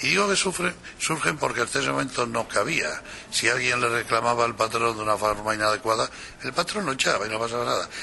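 Amid noticeable background noise, a man talks very fast at a medium pitch with very wide pitch swings. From Spain. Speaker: communication strategy expert. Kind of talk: interview.

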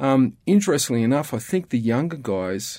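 A man with an Australian accent at a moderate pace, on a very clean recording against a silent background. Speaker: CPA and ministry leader. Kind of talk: casual interview conversation. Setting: studio.

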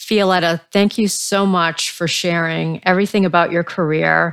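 This woman has a fairly low pitch. Her intonation is monotone and flat. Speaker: podcast host. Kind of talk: interview questions.

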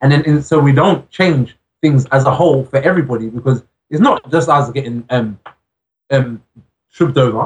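Somewhat breathy, a man with an English accent speaks with lively intonation. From England. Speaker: rapper. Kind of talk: interview. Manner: halting.

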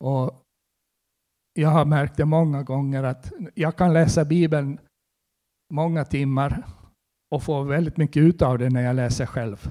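A man speaks at a fairly slow pace, with long, frequent pauses. His tone is dark and mellow, his pitch fairly high and his intonation fairly even. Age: 60s. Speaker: preacher. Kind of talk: sermon.

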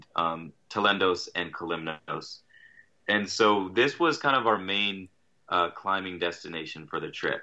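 This man has an ordinary speaking voice. His intonation is lively. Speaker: guest sailor telling trip story. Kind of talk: casual storytelling.

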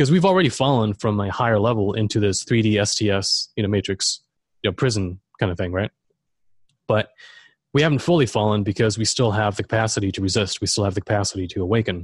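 Speaking very fast in a fairly low, somewhat breathy voice with ordinary pitch variation, a man is heard against a quiet background in a dry, close recording with no echo. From Germany. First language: German. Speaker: esoteric researcher and author. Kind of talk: interview.

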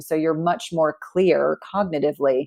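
This woman has a very deep, low pitch and an American accent. The background is quiet. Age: 40s. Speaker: nurse practitioner. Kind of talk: interview.

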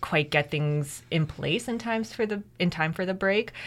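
A woman with a Canadian accent, an unremarkable speaking voice, moderate pace and ordinary pitch variation. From Canada. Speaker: PhD student in education, former teacher. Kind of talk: interview.

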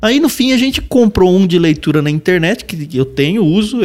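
This man's pitch swings very widely while his pace stays moderate. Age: 40s. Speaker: podcast co-host. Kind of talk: casual chat.

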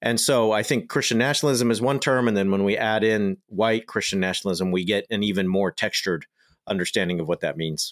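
On a very clean recording with a silent background and a dry, close sound with no echo, a man with a Californian accent speaks at a fairly quick pace in a fairly low pitch, with ordinary pitch variation and very even loudness. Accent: Californian American. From Southern California. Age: 30s. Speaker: author and scholar. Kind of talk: interview.

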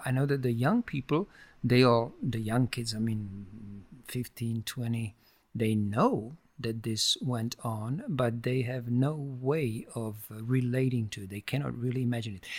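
Speaking with a Czech accent, a man at a medium pitch goes at a fairly slow pace with fairly even intonation. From Czech Republic. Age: 60s. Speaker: sculptor and painter. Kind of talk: interview conversation. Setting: artist's studio. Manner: halting.

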